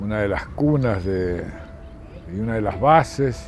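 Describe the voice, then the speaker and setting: In a room with audible echo and noticeable background noise, a man speaks very slowly at a fairly low pitch with lively intonation. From Argentina, San Juan / Mendoza (Cuyo). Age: 60s. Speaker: war veteran. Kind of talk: interview testimony.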